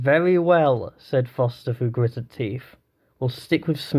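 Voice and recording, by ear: Reading aloud in a natural voice, set against a quiet background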